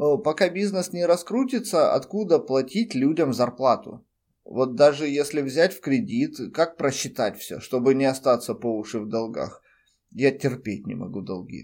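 A man speaks at a fairly slow pace and fairly high pitch, with very wide pitch swings and big swings in loudness. The recording is very clean, with a silent background. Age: 30s. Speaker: podcaster and freelance web specialist. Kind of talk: personal monologue.

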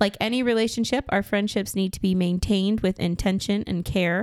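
A woman with a plain, everyday voice talks at a fairly quick pace and medium pitch on a very clean recording with a silent background. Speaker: podcast host. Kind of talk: casual chat.

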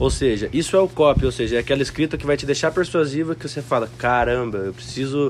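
Over noticeable background noise, a man speaks very fast at a medium pitch with ordinary pitch variation and hardly any pauses. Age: 20s. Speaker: copywriter. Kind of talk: casual chat. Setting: mansion house.

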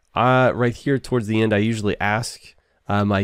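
A man with an ordinary speaking voice, fairly low pitch and a moderate pace, against a quiet background. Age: 40s. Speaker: podcast host. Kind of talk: casual interview chat.

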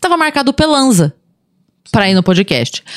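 A woman's voice shows vocal fry and very wide pitch swings. The recording is very clean, with a silent background. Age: 40s. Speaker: comedian. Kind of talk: casual chat. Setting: studio.

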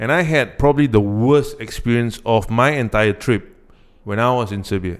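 A man speaks with a Singaporean accent at a medium pitch. His pace is moderate and his pitch varies in an ordinary way. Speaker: podcast co-host. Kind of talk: casual chat.

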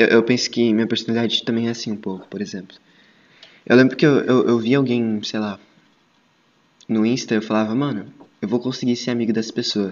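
Using a normal speaking voice, a man talks at a fairly quick pace with a medium pitch and fairly even intonation. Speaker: podcast host. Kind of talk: casual chat.

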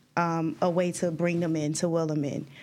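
A woman with a New Jersey accent and fairly low pitch, monotone and flat at a moderate pace, on a very clean recording with a silent background. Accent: New Jersey American English. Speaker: youth fitness organization founder. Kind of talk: casual chat.

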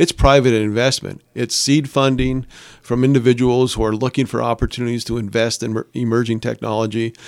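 A man with an American accent, fairly quick and monotone with flat intonation, on a very clean recording with a silent background. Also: medium pitch for a man. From Upper Peninsula of Michigan, Calumet. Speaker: startup support organization CEO. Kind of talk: radio interview. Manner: hesitant, many repeated words and fillers.

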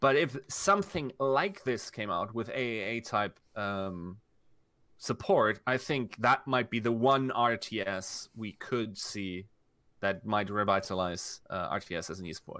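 This man has a German accent, a bright, sharp tone and a medium pitch with ordinary pitch variation. He talks at a fairly slow pace on a very clean recording with a silent background. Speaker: esports content creator. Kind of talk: casual chat.

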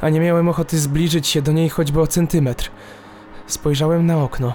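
Through noticeable background noise, a man with a fairly high pitch speaks at a moderate pace. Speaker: horror story narrator. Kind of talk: ghost story narration, first-person creepy tale read aloud. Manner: halting, suspenseful pauses before the scary reveals.

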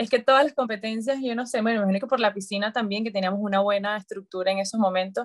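Somewhat breathy, a woman talks very fast with hardly any pauses and fairly even intonation. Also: fairly high pitch for a woman. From Venezuela, Maracay. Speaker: dietitian and former Olympic swimmer. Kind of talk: interview conversation.

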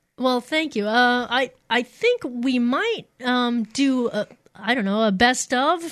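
With an American accent, a woman speaks at a high pitch with ordinary pitch variation against a quiet background. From Missouri, US. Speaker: radio DJ. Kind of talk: casual interview chat.

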